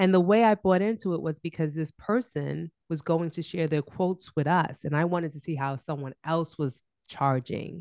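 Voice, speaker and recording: A woman has a normal speaking voice with a fairly low pitch, ordinary pitch variation and a moderate pace. The sound is dry and close with no echo, over a quiet background. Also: hardly any pauses. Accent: American. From Brooklyn, New York. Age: 40s. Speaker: business coach. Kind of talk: interview.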